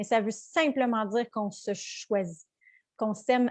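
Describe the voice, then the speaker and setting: A woman's voice in a Quebec accent at a very slow pace, with fairly even intonation, in a dry, close sound with no echo against a quiet background. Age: 30s. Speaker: mindfulness coach. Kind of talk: live webinar teaching. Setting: live online webinar. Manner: halting, many fillers.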